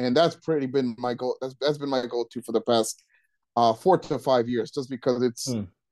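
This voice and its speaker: The sound is dry and close, with no echo. A man speaks at a fairly quick pace. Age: 30s. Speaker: DJ. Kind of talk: casual chat. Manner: halting.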